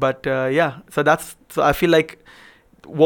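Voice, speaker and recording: A man talks at a fairly high pitch in a monotone, flat intonation. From Pakistan. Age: 20s. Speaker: filmmaker. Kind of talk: casual chat. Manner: fast.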